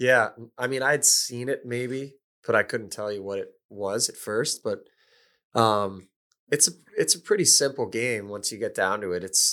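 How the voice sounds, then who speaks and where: A bright, sharp tone at a moderate pace, with ordinary pitch variation and a very clean recording over a silent background. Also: man. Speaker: hockey player. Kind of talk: casual chat. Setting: studio.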